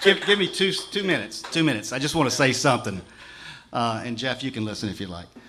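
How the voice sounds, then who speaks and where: Very fast speech from a man at medium pitch, with very wide pitch swings, big swings in loudness and noticeable background noise. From Ocean Springs, Mississippi, US South. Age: 60s. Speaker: mayoral candidate. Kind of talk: campaign speech. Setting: public forum with audience.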